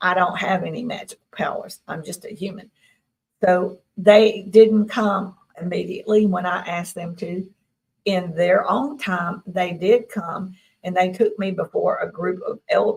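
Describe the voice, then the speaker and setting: With an American accent, a woman speaks at a fairly slow pace in a somewhat breathy voice, her intonation fairly even but her loudness swinging widely. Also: medium pitch for a woman. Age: 60s. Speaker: claimed alien contactee. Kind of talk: interview.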